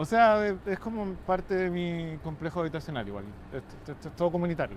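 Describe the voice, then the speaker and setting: A man with a Chilean accent talks at a very fast pace. His high pitch carries lively intonation. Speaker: journalist and photographer. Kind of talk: interview conversation. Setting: rooftop, outdoors.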